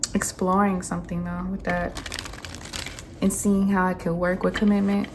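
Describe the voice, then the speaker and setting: Over noticeable background noise, a woman speaks at a medium pitch and moderate pace with monotone, flat intonation. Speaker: tarot reader. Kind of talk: tarot reading monologue. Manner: casual, filler-heavy.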